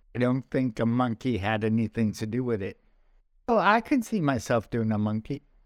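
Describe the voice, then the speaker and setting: A man with a New York accent speaks at a medium pitch. He keeps a moderate pace. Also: ordinary pitch variation, dry, close sound with no echo, very clean recording, silent background. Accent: New York American. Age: 40s. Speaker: comedian. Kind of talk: casual chat.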